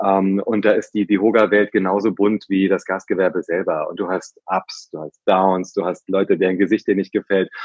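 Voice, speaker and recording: A man's fairly low voice keeps a monotone, flat intonation at a moderate pace. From central Hesse, Germany (Herborn). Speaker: hospitality trade association executive. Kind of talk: interview. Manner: halting with frequent fillers and repetitions.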